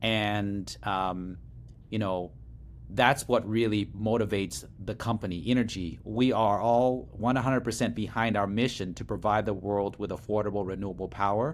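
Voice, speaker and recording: A man speaks in an American accent with a fairly low pitch. Vocal fry runs through his voice. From Laos, came to US as refugee in early 1980s. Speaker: startup CEO. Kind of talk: interview.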